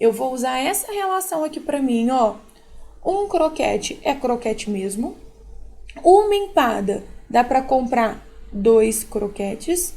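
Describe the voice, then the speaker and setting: Very slowly, a woman with a high pitch and a dark, mellow tone makes very wide pitch swings. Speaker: math teacher. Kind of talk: tutorial. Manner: conversational, informal.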